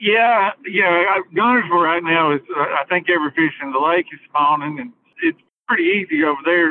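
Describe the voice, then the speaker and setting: Here a man speaks with an Alabama accent at a moderate pace. His pitch is high, with ordinary variation. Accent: Southern US (Alabama). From northern Alabama (Hartselle area). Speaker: fishing guide. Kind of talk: casual chat.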